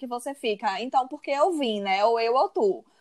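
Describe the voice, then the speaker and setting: A woman talks at a fairly quick pace with a high pitch and lively intonation. The sound is dry and close, with no echo. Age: 30s. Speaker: advertising professional and university lecturer. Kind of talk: interview.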